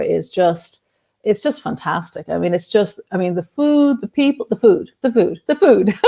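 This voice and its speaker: With an Irish accent and vocal fry, a woman speaks at a moderate pace and medium pitch, her dark, mellow tone and lively intonation captured in a dry, close sound with no echo. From Ireland. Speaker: journalist and activist. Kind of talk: interview. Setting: video call.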